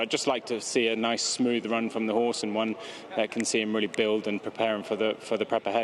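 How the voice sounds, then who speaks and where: Very fast speech from a man with an English accent, medium pitch, and monotone, flat intonation, over noticeable background noise. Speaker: racehorse trainer. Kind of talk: interview.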